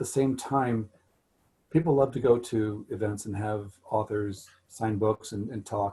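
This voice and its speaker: Somewhat breathy and dark, mellow in tone, a man with an American accent speaks fairly slowly at a fairly low pitch with fairly even intonation. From Missouri, US Midwest. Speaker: author. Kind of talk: Q&A talk. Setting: video call.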